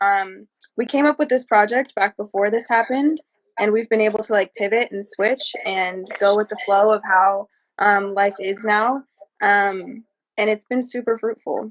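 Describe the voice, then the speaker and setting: Here is an unremarkable speaking voice with ordinary pitch variation, delivered at a moderate pace. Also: woman, fairly high pitch for a woman. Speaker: event organizer and interviewer. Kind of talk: casual interview talk.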